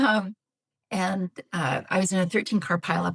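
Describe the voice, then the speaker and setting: This woman's fairly low voice carries vocal fry. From Canada. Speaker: psychologist, betrayal trauma expert. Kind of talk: podcast interview.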